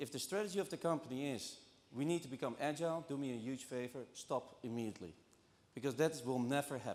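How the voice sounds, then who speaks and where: At a very fast pace, a man in a Dutch accent speaks with a fairly high pitch and ordinary pitch variation. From Netherlands. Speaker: banking transformation executive. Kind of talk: conference talk. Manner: halting, many fillers.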